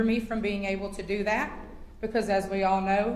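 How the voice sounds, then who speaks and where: Speaking at a moderate pace with a Southern US accent, a woman keeps a medium pitch and a monotone, flat intonation, with noticeable background noise and audible room echo. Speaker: public commenter at county council meeting. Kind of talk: public comment. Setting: county council meeting.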